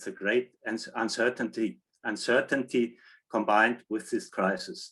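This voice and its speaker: A man at a medium pitch and moderate pace, with a quiet background. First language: German. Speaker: general practitioner. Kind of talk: short online presentation.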